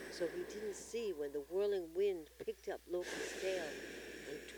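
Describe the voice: Here is plain reading aloud.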